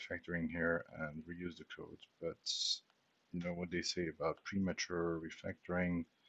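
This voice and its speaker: With a non-native accent, a man talks in a very deep, low voice, recorded dry and close with no echo. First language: not English. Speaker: software developer streamer. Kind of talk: live coding tutorial. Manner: casual, thinking aloud.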